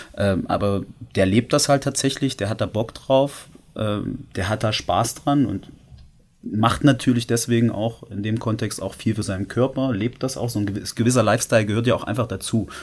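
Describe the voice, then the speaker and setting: At a moderate pace and medium pitch, a man speaks in an unremarkable speaking voice with ordinary pitch variation. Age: 30s. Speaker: male stripper. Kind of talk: casual chat.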